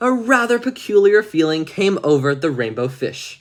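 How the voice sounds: Someone reads in a natural reading voice.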